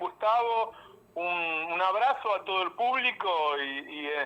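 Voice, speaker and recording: With a bright, sharp tone and lively intonation, a man projects a raised voice at a high pitch. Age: 60s. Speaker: journalist. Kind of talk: radio interview.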